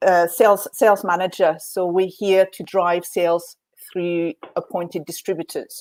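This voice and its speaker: Speaking with a French accent, a woman keeps a medium pitch and a moderate pace. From France, French Alps. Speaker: whisky sales manager. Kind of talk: live online tasting chat. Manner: hesitant, many fillers.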